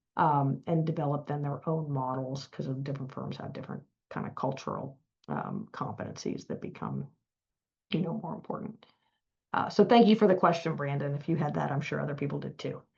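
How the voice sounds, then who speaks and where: In an American accent, a woman with a very deep, low pitch talks at a fairly quick pace with vocal fry, big swings in loudness and ordinary pitch variation. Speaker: law firm partner. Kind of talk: webinar Q&A. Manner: halting, many fillers.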